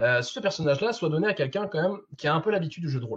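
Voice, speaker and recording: A man talks in a somewhat breathy voice. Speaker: game master and speaker at a convention. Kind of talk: Q&A after a conference talk. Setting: video call. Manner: fast; many verbal tics and fillers.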